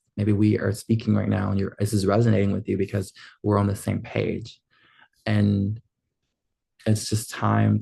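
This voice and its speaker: In a dark, mellow tone, a man speaks at a fairly low pitch and moderate pace, somewhat breathy and with monotone, flat intonation. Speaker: film school graduate vlogger. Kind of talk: casual vlog monologue.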